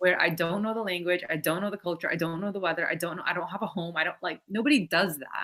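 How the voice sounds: Speaking at a fast pace with an American accent, a woman has a fairly low pitch, a bright, sharp tone and fairly even intonation.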